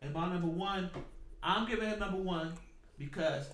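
A man speaks over noticeable background noise. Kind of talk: heated debate. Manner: incredulous, loud and rapid-fire, pressing rhetorical questions.

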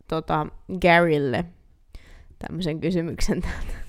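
A woman's fairly low-pitched voice. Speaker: podcast co-host. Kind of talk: casual chat. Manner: soft-spoken.

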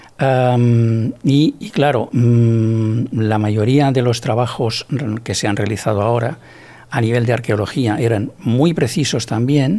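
The voice has a dark, mellow tone. It moves at a very slow pace with ordinary pitch variation. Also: man, medium pitch for a man. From Barcelona area, Catalonia, Spain. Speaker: architect and researcher. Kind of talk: interview. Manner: halting, repeats words.

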